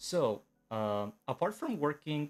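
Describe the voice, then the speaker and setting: A man with a slight non-native accent. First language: Spanish. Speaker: animator. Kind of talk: live stream talk. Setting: live stream from home. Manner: halting, many fillers.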